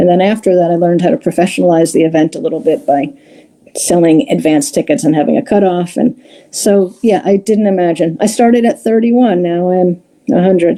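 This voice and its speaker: A woman with an American accent has a dark, mellow tone and a medium pitch. She talks at a fairly quick pace with lively intonation and very even loudness. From New York, Long Island. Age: 60s. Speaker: comedy show producer. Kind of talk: interview. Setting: live stream.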